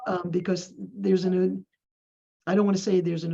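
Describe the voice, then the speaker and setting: In a dark, mellow tone with vocal fry, a woman speaks at a fairly low pitch and a fairly quick pace. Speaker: community village staff member. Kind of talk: group meeting discussion. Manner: fast.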